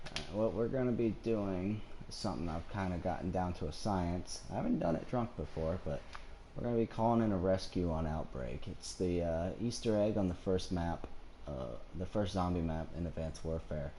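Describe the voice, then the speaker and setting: This man's voice is very deep and low with a dark, mellow tone, ordinary pitch variation and a moderate pace, and the room echo is audible. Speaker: video game streamer. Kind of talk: gameplay tutorial. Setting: live console broadcast. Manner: casual, hesitant with fillers.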